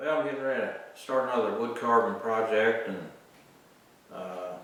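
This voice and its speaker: Audible room echo surrounds the voice of a man. Background noise is noticeable as well. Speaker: woodcarver. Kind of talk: tutorial.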